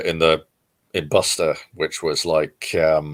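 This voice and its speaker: A man speaks at a fairly slow pace. He has an English accent. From southern England, near Guildford. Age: 40s. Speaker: comic book creator. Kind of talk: interview. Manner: halting, many fillers.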